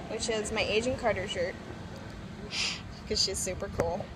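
Over noticeable background noise, a woman talks at a fairly quick pace. Her pitch shows ordinary variation. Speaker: vlogger. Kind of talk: casual vlog chat. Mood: excited, playful. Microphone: phone near.

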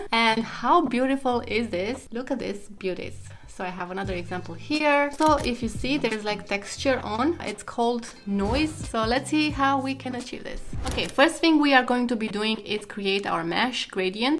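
Over faint music in the background, a woman talks at a moderate pace with hardly any pauses and ordinary pitch variation. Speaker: web design tutorial creator. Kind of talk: tutorial. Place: home room.

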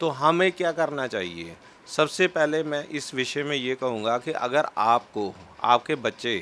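A man's bright, sharp voice is fairly high in pitch and very slow. His intonation is lively. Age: 40s. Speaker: astrologer; interviewee. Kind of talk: interview. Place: home room. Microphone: handheld.

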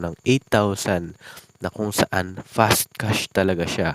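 This is a man with an ordinary speaking voice, pitched fairly low and with ordinary pitch variation. The sound is dry and close, with no echo. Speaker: YouTube vlogger. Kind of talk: tutorial. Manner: casual with many fillers.

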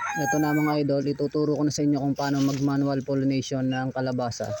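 A man's fairly high voice, monotone and flat, at a fairly quick pace with noticeable background noise. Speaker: vlogger and vegetable farmer. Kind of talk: tutorial. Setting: outdoors in a farm field. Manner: casual, friendly.

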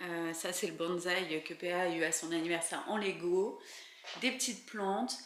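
A woman speaks at a fairly slow pace in a fairly low voice with fairly even intonation. Light background noise and audible room echo are present. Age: 20s. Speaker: lifestyle vlogger. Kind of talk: home renovation vlog. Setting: at home. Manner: casual, hesitant with frequent fillers. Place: home room. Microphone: phone near.

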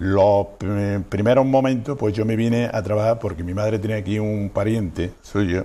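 A man's dark, mellow voice, fairly low in pitch, with ordinary pitch variation. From Andalusia, Sierra de Huelva; Andalusia, Spain. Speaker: restaurant owner; interview guest. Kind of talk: interview. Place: studio. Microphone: lapel.

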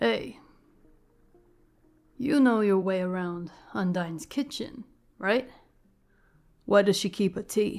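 A woman's put-on character voice, gravelly and calm, soothing in tone, medium in pitch, fairly slow, with long, frequent pauses. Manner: calm, soothing, wry.

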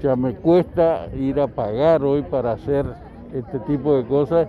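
Crowd noise fills the background as a man talks at a fairly slow pace. The sound is dry, with no echo. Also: fairly high pitch for a man, ordinary pitch variation. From Argentina. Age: 70s. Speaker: local resident. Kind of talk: street interview. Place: open country. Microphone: handheld.

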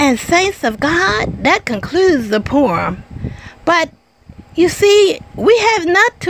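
A woman's animated, warm tone at a fairly slow pace over light background noise. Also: dry sound with no echo. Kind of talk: spoken word poetry and sermon-like devotional reading, with chatty intro. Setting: home video recording, addressing online audience. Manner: animated, warm, playful with laughs; measured, reflective, preacher-like cadence in the poem. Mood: earnest, devotional.

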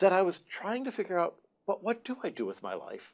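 This man has a dark, mellow tone. He speaks with an American accent. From US Midwest, Detroit. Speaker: Jesuit brother and astronomer. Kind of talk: TV interview. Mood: warm, good-humored. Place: studio.

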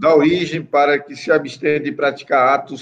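A man talking at a moderate pace. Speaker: court councillor. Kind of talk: formal court session, reading report. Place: office. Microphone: video call.

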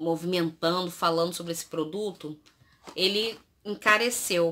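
A woman speaks at a fairly slow pace in a bright, sharp tone with ordinary pitch variation. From Brazil. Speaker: youtuber. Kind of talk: product review vlog. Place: home room. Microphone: phone near.

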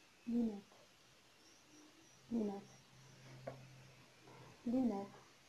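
A woman is whispering over light background noise. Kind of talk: whisper challenge, mouthing words to a partner. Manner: whispered, repeating a word. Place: home room. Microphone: phone near.

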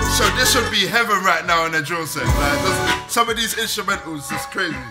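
With lively intonation and a moderate pace, a man talks over noticeable background noise. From London. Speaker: radio DJ. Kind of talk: interview answer. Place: studio.

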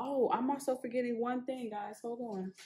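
A woman speaks in a somewhat breathy voice. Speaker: home cooking vlogger. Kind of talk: casual vlog chat. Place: kitchen. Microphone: phone near.

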